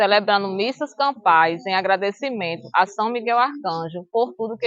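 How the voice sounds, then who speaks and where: A woman's normal speaking voice, medium in pitch, with lively intonation at a moderate pace. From Extremoz, Rio Grande do Norte, northeast Brazil. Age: 50s. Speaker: teacher and local historian. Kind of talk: documentary narration. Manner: formal.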